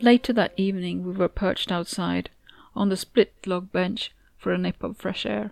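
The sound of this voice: An unforced reading voice, nothing more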